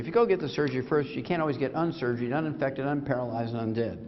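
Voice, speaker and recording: Talking at a very fast pace, a man with a fairly high pitch is heard over noticeable background noise and audible room echo. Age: 70s. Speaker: doctor and supplement company founder lecturing. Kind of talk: sales lecture. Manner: animated.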